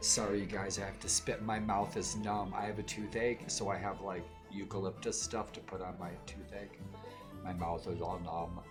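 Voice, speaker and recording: With music in the background, a man speaks at a moderate pace using fairly even intonation. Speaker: streamer.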